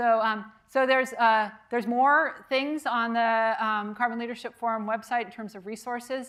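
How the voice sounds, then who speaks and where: Talking at a moderate pace with hardly any pauses, a woman with a fairly high pitch shows big swings in loudness while keeping her intonation fairly even. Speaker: architecture professor and structural engineer. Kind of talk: lecture. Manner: hesitant, many fillers.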